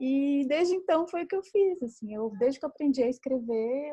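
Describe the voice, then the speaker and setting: With lively intonation, a woman speaks at a high pitch in a dark, mellow tone, the sound dry and close with no echo. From Brazil, Minas Gerais. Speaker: writer and screenwriter. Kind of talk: casual chat.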